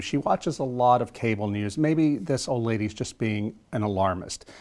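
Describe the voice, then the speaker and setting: Recorded very cleanly against a silent background, a man with an American accent and an unremarkable speaking voice talks at medium pitch with lively intonation. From US South, South Louisiana. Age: 50s. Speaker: author. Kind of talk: interview.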